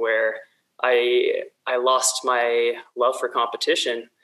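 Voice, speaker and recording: The speaker is a man. He has an American accent. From California Central Valley. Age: 30s. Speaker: ultrarunner. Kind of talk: casual interview.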